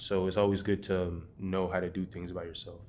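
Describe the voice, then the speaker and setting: Monotone and flat, a man's fairly low voice moves at a fairly quick pace. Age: 20s. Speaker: musician and rapper. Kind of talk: interview monologue. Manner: casual, filler-heavy.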